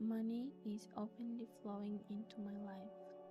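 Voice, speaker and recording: Music plays in the background as a woman speaks in a calm tone. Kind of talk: affirmation reading. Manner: slow, calm.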